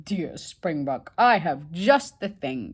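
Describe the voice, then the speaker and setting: Putting on a booming character voice, a woman speaks very slowly at a fairly low pitch with very wide pitch swings. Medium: read story. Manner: gentle, booming.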